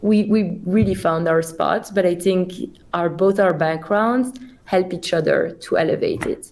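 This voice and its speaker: A woman's fairly slow speech in a Belgian accent, with very even loudness. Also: medium pitch for a woman, ordinary pitch variation. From Belgium. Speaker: company CEO. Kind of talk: podcast interview.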